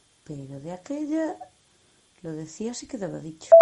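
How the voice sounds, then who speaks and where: The intonation here is lively. A woman delivers her words at a moderate pace. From Galicia, Spain. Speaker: fan. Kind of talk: recorded anecdote.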